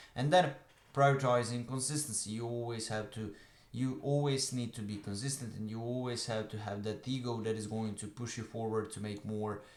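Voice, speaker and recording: There is audible room echo as a man with a Croatian accent speaks at medium pitch with fairly even intonation. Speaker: online business coach. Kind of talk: talking-head tutorial. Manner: fast; hesitant with filler uhs.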